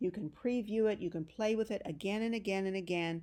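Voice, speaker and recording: A woman speaks at a moderate pace in an unremarkable speaking voice, medium in pitch with ordinary pitch variation. The recording is very clean, with a silent background. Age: 60s. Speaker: genealogy author and instructor. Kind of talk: tutorial. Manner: casual, encouraging.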